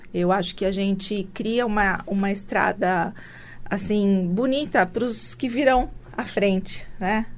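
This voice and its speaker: In a room with audible echo, a woman speaks fairly slowly at a medium pitch with ordinary pitch variation. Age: 50s. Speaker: entrepreneur and international speaker. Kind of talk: interview.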